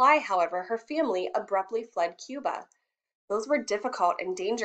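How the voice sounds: Over a quiet background, lively intonation in a natural reading voice.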